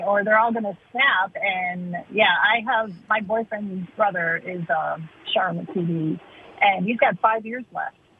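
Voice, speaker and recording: Over noticeable background noise, a woman with a medium pitch speaks at a fairly slow pace with ordinary pitch variation. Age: 60s. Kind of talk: casual chat.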